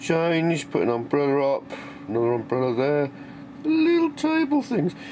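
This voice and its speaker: A moderate pace in an English accent, over noticeable background noise. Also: man. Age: 60s. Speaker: maker and workshop vlogger. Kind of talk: casual workshop vlog. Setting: workshop.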